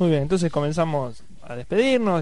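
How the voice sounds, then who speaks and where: A man's lively intonation carries through audible room echo. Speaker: radio host. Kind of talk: radio talk show.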